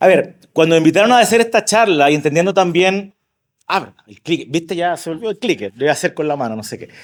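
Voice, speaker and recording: A man with a high pitch races along at a very fast pace, his intonation lively and his loudness swinging widely. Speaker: marketing expert and speaker. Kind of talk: conference talk. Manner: casual.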